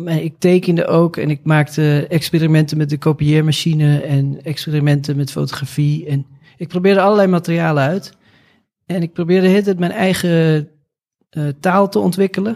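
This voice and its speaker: A man's plain, everyday voice, fairly high in pitch, with fairly even intonation. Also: moderate pace. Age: 40s. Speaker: artist. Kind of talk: interview.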